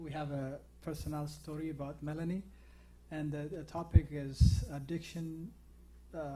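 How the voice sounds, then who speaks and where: A man's fairly high, somewhat breathy voice with an African accent, dark and mellow in tone, monotone and flat, at a moderate pace with long, frequent pauses and audible room echo. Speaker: TV talk show host. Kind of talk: interview. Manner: halting.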